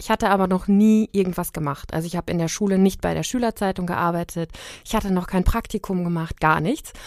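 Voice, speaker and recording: A woman speaks very fast at medium pitch with fairly even intonation. The recording is very clean and dry, close with no echo and a silent background. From Germany, Siegen. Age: 30s. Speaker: freelance journalist. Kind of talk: interview.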